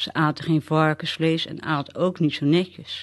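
A woman with a very deep, low pitch, speaking at a fairly slow pace. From Netherlands, Westland near The Hague. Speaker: storyteller sharing memories. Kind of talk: personal memoir reading.

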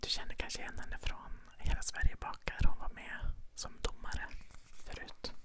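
Whispering, a woman talks at a fairly slow pace. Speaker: ASMR creator. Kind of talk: ASMR ramble, casual talk. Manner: soft-spoken. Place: home room. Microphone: lapel.

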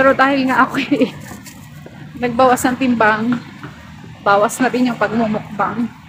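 This woman's high voice keeps fairly even intonation at a moderate pace. Long, frequent pauses break it up, and there is noticeable background noise. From Philippines. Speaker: vlogger. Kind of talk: walking vlog. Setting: outdoors. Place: street. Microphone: phone near.

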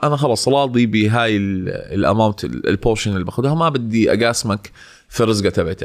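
On a very clean recording with a silent background, a man with an ordinary speaking voice, medium pitch and ordinary pitch variation talks at a moderate pace with hardly any pauses. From Jordan. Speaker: social media entrepreneur. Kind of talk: casual chat.

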